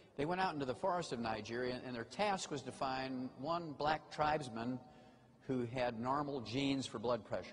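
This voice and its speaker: Over audible room echo, a man talks at a medium pitch and moderate pace, with ordinary pitch variation. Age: 70s. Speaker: health lecturer. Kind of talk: lecture. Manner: animated.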